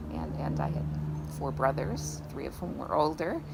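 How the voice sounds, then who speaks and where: A woman talks at a fairly quick pace in an upstate New York accent. Audible room echo and noticeable background noise surround her. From upstate New York (Syracuse area). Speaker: garden owner. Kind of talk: interview. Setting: outdoors in a garden. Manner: halting, with many repeats and fillers.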